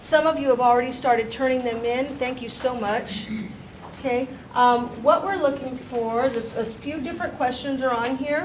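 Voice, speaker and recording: Loud and high-pitched, a woman speaks at a moderate pace with fairly even intonation, amid noticeable background noise and audible room echo. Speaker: staff member at a teacher training meeting. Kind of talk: announcements at a meeting.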